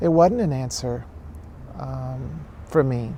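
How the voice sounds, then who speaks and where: Noticeable background noise sits under speech that moves at a very slow pace. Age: 40s. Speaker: documentary subject. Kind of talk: interview. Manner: halting.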